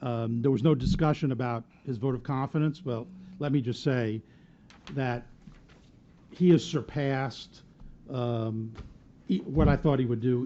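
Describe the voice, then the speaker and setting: A man talks at a fairly slow pace in a medium pitch. He leaves long, frequent pauses. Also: ordinary pitch variation. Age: 60s. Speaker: city attorney. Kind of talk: council meeting discussion. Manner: halting.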